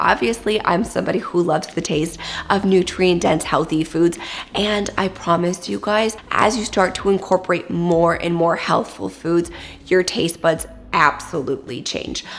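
A woman talks at a moderate pace. Her fairly low pitch shows ordinary variation. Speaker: wellness vlogger. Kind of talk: casual vlog chat. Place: kitchen.

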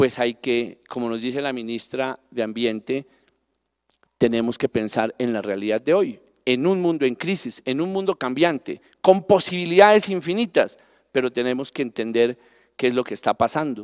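With lively intonation, a man keeps to a moderate pace. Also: quiet background. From Colombia, Pasto (Nariño). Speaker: national parks director. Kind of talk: panel talk. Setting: stage with audience. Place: stage. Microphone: handheld.

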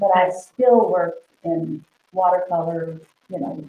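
Audible room echo and light background noise surround a woman with a fairly low pitch and lively intonation. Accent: American. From Oklahoma. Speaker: artist. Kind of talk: interview. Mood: warm, animated. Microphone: webcam.

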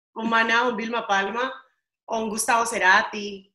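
A woman's bright, sharp voice with audible room echo against a quiet background. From Colombia. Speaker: radio host. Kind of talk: interview answer. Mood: cheerful, friendly. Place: home room. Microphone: video call.

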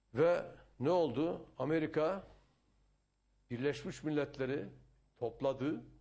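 A man's fairly high voice with a dark, mellow tone and vocal fry, ordinary pitch variation, a very slow pace and long, frequent pauses. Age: 60s. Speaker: politician. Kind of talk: interview. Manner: animated.

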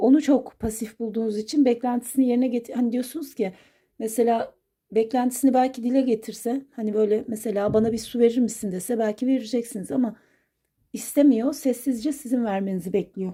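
A woman with a high pitch and a dark, mellow tone speaks at a moderate pace with ordinary pitch variation. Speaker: coffee cup fortune teller. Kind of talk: fortune reading monologue. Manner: hesitant, many filler sounds.

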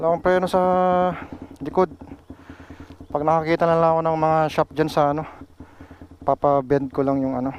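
A man's fairly high voice at a fairly quick pace, flat and monotone, broken by long, frequent pauses, with a dry, close sound and no echo. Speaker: motorcycle vlogger. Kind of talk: vlog commentary after accident. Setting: outdoors on roadside. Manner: agitated, swearing in shock.

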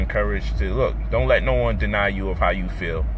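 The voice moves at a moderate pace, the sound dry with no echo and light background noise. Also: man. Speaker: commentator on relationships. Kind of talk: casual vlog chat. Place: car. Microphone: phone near.

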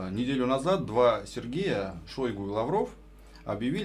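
With vocal fry and a medium pitch, a man speaks at a moderate pace while his pitch swings very widely. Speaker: radio co-host. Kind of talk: radio interview. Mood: playful, ironic. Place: studio. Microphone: studio mic.

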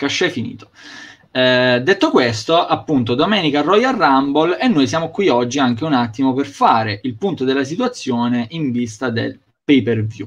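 A man speaks in a normal speaking voice at a moderate pace, with a medium pitch and ordinary pitch variation. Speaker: wrestling show host. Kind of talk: casual chat. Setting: video call. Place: home room. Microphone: video call.

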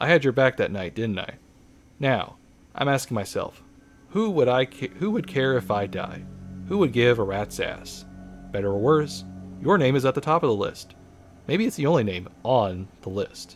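A man puts on a gruff character voice at medium pitch, speaking at a moderate pace with long, frequent pauses while faint music plays in the background. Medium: game stream. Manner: gruff, cynical, then serious.

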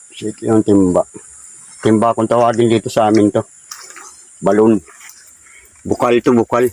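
A man's medium-pitched voice at a moderate pace, monotone and flat, with long, frequent pauses, a dry, close sound with no echo, and noticeable background noise. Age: 50s. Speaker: vlogger. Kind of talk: casual walking vlog narration. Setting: outdoors.

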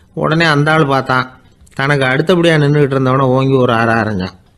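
A man's voice with ordinary pitch variation. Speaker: radio broadcaster and storyteller. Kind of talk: moral storytelling talk.

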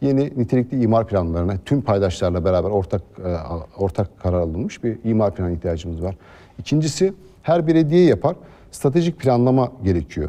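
A man's fairly low voice has a dark, mellow tone and very wide pitch swings. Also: fairly quick pace. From Aliağa, İzmir, Turkey. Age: 30s. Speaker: mayoral candidate. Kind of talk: TV interview. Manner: frequent filler hesitations.

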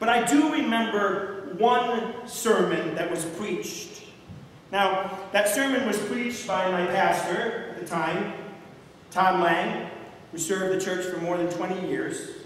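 Strong room echo around a man with a high pitch, ordinary pitch variation and a fairly slow pace. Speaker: pastor. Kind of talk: sermon. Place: church. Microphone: camera far.

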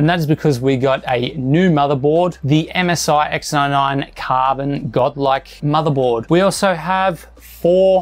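A man talks at a very slow pace, his pitch showing ordinary variation. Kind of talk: setup tour commentary. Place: home room.

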